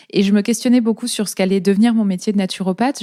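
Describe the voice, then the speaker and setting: On a very clean recording with a silent background, a woman speaks at a fairly quick pace in a medium pitch with fairly even intonation. Her tone is dark and mellow, and the sound is dry and close with no echo. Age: 30s. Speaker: naturopath and podcast host. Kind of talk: interview. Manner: hesitant, many fillers.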